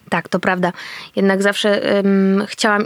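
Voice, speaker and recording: A woman speaks at a medium pitch and a moderate pace, her intonation monotone and flat. The sound is dry and close with no echo, in a very clean recording with a silent background. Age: 30s. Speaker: actress and reporter. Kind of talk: casual chat. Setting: eating while talking.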